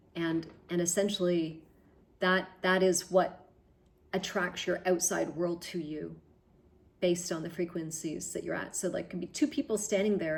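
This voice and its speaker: A woman's fairly low voice in a Canadian accent, at a moderate pace. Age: 60s. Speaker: spiritual vlogger. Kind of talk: personal video diary. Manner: halting, with frequent repetitions; reflective.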